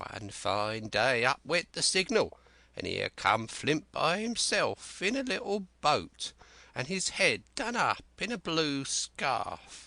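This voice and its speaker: Against a quiet background, a man uses a put-on character voice at a high pitch. He goes at a fairly slow pace. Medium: read story. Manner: rambling, excitable, folksy sailor's dialect.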